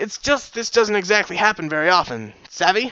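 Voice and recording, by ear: Putting on a character voice, a man speaks at a fairly quick pace in a high pitch with big pitch swings and a bright, sharp tone.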